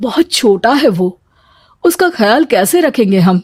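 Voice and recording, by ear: A woman's put-on character voice, fairly high with big pitch swings, fairly slow, slightly husky at the edges and slightly mellow in tone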